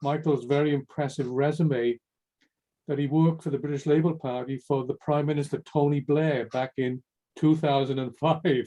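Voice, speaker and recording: With a Welsh accent, a man speaks in a fairly high, dark, mellow voice and fairly even intonation, the sound dry and close with no echo. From Wales. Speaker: workshop moderator. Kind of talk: event moderation.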